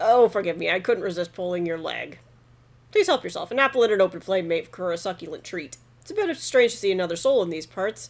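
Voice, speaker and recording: A woman uses a put-on character voice at a medium pitch. She talks at a very fast pace. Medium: game stream. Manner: measured, old-fashioned formal.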